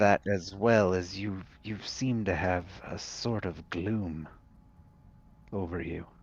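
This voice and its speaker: A man's put-on character voice, very deep and low in pitch, with fairly even intonation and a fairly slow pace. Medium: actual play.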